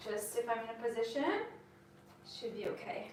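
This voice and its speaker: There is audible room echo and noticeable background noise as a woman speaks at a high pitch. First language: French. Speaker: yoga teacher. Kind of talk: live-streamed yoga class intro. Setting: live stream from home.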